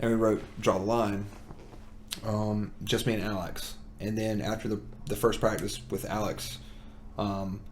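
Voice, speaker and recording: A man with a slight Southern US accent talks in a fairly low pitch with a monotone, flat intonation at a fairly slow pace, leaving long, frequent pauses amid audible room echo. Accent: slight Southern twang. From US South. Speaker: musician. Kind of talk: casual chat.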